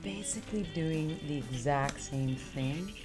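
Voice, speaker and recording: Clear music plays in the background. Over it, a woman speaks with ordinary pitch variation. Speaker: cooking course host. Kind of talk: tutorial. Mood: cheerful, playful. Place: kitchen.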